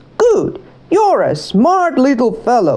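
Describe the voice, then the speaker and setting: A woman cackles in a put-on character voice. She delivers it at a fairly slow pace. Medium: read story. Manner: cackling.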